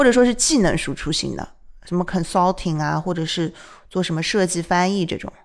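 This woman has a normal speaking voice, fairly low in pitch, with ordinary pitch variation and a fairly quick pace. The recording is very clean, with a silent background. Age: young. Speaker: podcast host. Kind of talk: casual chat.

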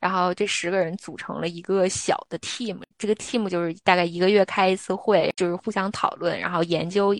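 A woman in a monotone, flat intonation with hardly any pauses. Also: medium pitch for a woman, moderate pace, dry, close sound with no echo. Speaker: podcast co-host. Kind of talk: casual chat.

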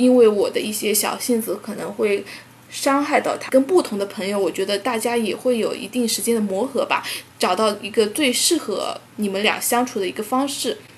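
A woman's fairly high voice in a southern Chinese accent, at a moderate pace with ordinary pitch variation, over noticeable background noise. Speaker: podcast co-host. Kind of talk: casual chat.

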